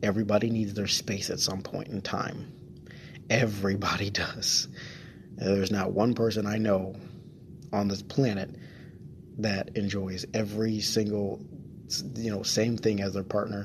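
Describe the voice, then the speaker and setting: A soft-spoken man's fairly low voice, with fairly even intonation and long, frequent pauses, at a moderate pace. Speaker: solo podcast host and streamer. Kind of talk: casual solo monologue. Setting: home studio, close to microphone. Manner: halting, many fillers and repeats.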